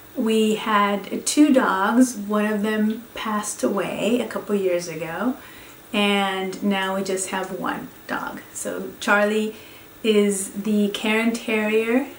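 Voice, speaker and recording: A woman speaks very slowly with a Spanish accent, at a medium pitch and with fairly even intonation. Audible room echo and noticeable background noise fill the recording. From Venezuela (Caracas). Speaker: professor. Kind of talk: course introduction talk. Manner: halting.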